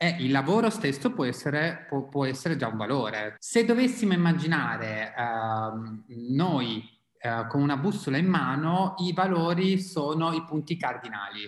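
A man's fairly high voice rises and falls in very wide swings while he keeps a moderate pace. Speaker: psychologist and mindfulness guide. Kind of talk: casual chat.

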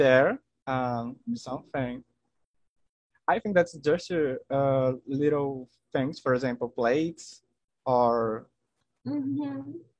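With a Portuguese accent, a man talks very slowly in a fairly high pitch, leaving long, frequent pauses. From Brazil, Maranhão. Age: 20s. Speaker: chemistry student. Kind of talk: casual chat. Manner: halting.

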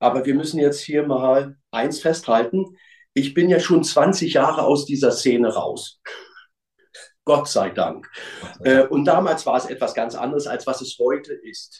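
A man's unremarkable speaking voice, fairly high in pitch, at a fairly slow pace. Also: ordinary pitch variation. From East Berlin, Germany. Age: 50s. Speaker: former hooligan. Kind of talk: testimony.

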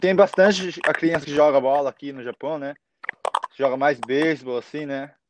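A man's fairly high voice with fairly even intonation and big swings in loudness, dry and close with no echo. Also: moderate pace. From Japan (born in Brazil, moved as infant). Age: 20s. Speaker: young footballer. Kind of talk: casual interview chat. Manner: halting.

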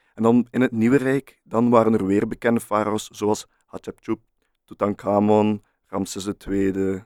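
Dry and close with no echo, a man's fairly low, monotone, flat voice moves at a fairly slow pace in a Flemish accent. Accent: Flemish Dutch. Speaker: podcast co-host. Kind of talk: casual chat.

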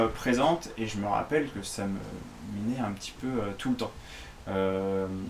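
This man's voice sits at a fairly low pitch and moves with ordinary pitch variation. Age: 30s. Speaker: fitness coach. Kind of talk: solo podcast monologue. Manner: hesitant, many fillers.

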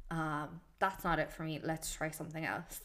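A woman speaks with an Irish accent. Her pitch is fairly low. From Ireland. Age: 20s. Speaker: podcaster. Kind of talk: casual monologue. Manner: casual, filler-heavy.

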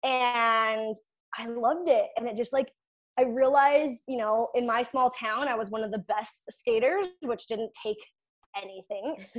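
A woman speaks at a fairly slow pace with a fairly high pitch and ordinary pitch variation. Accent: Canadian Prairie. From Saskatchewan, Canada (rural ranch). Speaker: Olympic figure skater and performance coach. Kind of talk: casual interview.

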